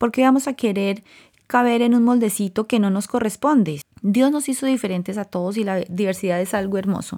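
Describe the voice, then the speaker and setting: A woman's dark, mellow voice at a medium pitch with ordinary pitch variation, on a very clean recording with a silent background. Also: fairly quick pace. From Colombia. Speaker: podcast host. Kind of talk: personal monologue.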